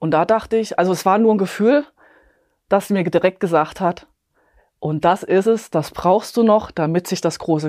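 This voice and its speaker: In a very clean recording with a silent background, a woman with a plain, everyday voice and a fairly low pitch talks at a moderate pace with ordinary pitch variation. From Bavaria, near Munich. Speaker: epigenetics coach and nutrition advisor. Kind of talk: interview, personal testimony.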